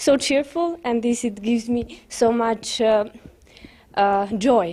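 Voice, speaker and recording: Speaking at a very slow pace, a woman with a fairly high pitch shows ordinary pitch variation. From Albania. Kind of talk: testimony. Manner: halting.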